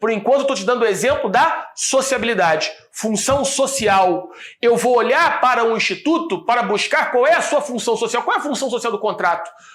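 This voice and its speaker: With hardly any pauses, a man talks in an extremely high voice with lively intonation. Audible echo fills the room. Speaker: law professor. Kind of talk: lecture. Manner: fast; stumbling over words.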